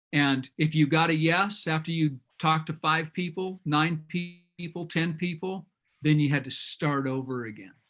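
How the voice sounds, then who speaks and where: Music plays in the background. The intonation is fairly even. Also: man, fairly high pitch for a man, moderate pace. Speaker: business coach. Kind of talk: group video call discussion. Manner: loud.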